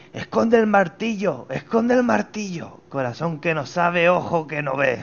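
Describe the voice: A man's loud, hoarse, put-on character voice, high in pitch, at a moderate pace.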